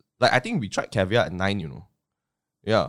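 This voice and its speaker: A man speaks with a Malaysian accent. The recording is very clean with a silent background. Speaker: podcast guest. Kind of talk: casual chat.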